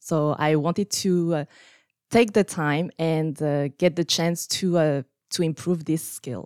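This woman's voice sits very deep and low in pitch, with ordinary pitch variation. She talks at a fairly slow pace, and the sound is dry and close with no echo. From France. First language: French. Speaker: scrum master. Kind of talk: interview.

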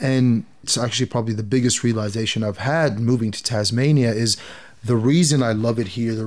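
With a slight American accent, a man speaks at a moderate pace and medium pitch, his intonation fairly even. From Saudi Arabia (Jeddah), Egyptian family, American international school. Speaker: podcast guest. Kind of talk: casual interview conversation. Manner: hesitant, many fillers and repetitions.

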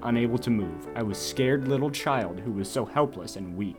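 Here the text is read aloud plainly. The pitch shows ordinary variation.

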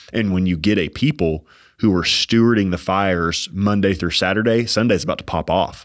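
In a very clean recording with a silent background, a man speaks fairly quickly in a normal speaking voice, his pitch fairly low with ordinary variation. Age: 30s. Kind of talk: casual faith discussion. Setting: studio.

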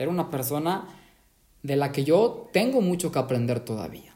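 A man's dark, mellow tone with lively intonation. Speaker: podcast host. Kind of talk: interview. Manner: enthusiastic.

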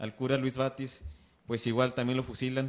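A plain, everyday voice at a fairly quick pace. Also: man. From Mexico. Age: 20s. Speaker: youth group leader, podcast host. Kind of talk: casual panel discussion.

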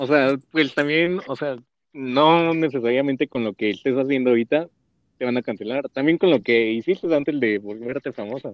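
A man talks at a moderate pace and medium pitch, with ordinary pitch variation. He has a plain, everyday voice. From Mexico, Mexico City. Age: 20s. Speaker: podcast co-host. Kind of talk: casual chat.

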